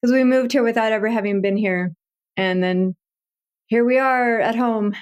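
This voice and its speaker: A plain, everyday voice moves at a moderate pace. Intonation stays fairly even and loudness very even. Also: woman, fairly high pitch for a woman. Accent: American. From Texas. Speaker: writer. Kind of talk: interview conversation.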